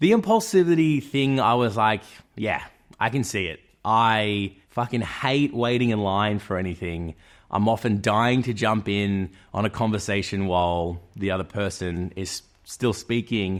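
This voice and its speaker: Here a man with an Australian accent talks at a fairly low pitch and a fairly slow pace. His pitch varies in an ordinary way, and the recording is very clean with a silent background. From Australia, Melbourne. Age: 30s. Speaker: YouTuber. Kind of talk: personal vlog monologue. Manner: animated.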